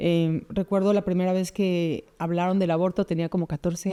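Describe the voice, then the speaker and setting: A woman speaks with a Mexican accent at a medium pitch and moderate pace. Her tone is dark and mellow, her intonation fairly even. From Mexico City. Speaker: pro-life expert. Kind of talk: interview conversation.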